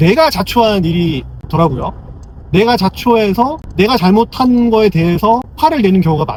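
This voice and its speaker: The voice moves at a moderate pace with very wide pitch swings. Noticeable background noise is present. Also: man. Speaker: hair transplant doctor. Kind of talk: casual monologue.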